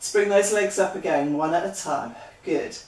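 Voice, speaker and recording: A woman's voice with ordinary pitch variation and audible room echo. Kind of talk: exercise class instruction. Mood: encouraging, upbeat. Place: home room.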